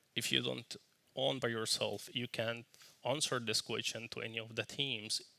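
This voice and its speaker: A man with a non-native accent and a medium pitch speaks in a bright, sharp tone with vocal fry. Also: ordinary pitch variation, moderate pace. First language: not English. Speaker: software team lead. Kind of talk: conference talk. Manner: casual.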